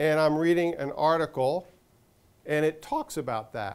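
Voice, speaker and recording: A man speaks at a very slow pace with a fairly high pitch. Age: 60s. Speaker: portfolio manager. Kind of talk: guest lecture.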